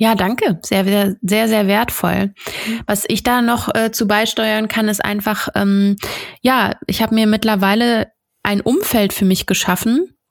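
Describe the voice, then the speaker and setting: At a fairly slow pace, a woman with an ordinary speaking voice talks in a fairly high pitch with fairly even intonation and very even loudness. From North Rhine-Westphalia, Germany. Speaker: podcast host. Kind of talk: casual interview.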